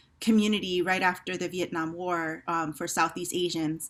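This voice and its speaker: Her Hawaiian accent comes through in a very clean recording with a silent background, as the woman speaks at a fairly low pitch in a bright, sharp tone with ordinary pitch variation. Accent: Hawaii English. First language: Hawaiian Pidgin. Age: 50s. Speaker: theater company director. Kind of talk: panel discussion. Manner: hesitant, many fillers.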